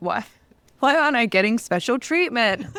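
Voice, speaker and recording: With an Australian accent, a woman speaks using lively intonation. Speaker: podcast co-host. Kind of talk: casual chat.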